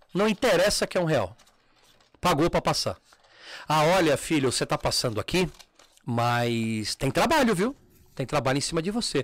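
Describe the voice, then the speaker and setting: A man talks at a fairly quick pace in a very clean recording with a silent background and a dry, close sound with no echo. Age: 40s. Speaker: umbanda practitioner and former teacher at a terreiro. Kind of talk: casual chat.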